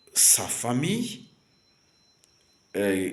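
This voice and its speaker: Somewhat breathy and in a Rwandan accent, a man speaks at a very slow pace with audible room echo. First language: Kinyarwanda (speaking French). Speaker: preacher. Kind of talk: sermon. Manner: halting, many fillers and repetitions.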